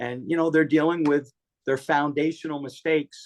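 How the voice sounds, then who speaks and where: A man talks at a moderate pace, his pitch fairly high. He has a plain, everyday voice. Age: 60s. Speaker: author and fitness advocate. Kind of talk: casual chat.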